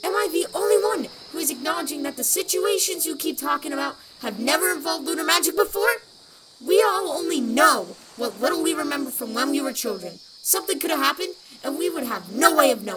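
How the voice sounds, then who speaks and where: A woman does a put-on character voice at a high pitch. She talks very fast. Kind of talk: audio drama dialogue. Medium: audio drama. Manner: frustrated, defensive.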